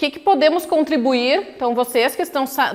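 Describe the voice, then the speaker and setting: A woman with a high-pitched voice talks at a moderate pace, her pitch varying in an ordinary way. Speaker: professor. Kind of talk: lecture. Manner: animated.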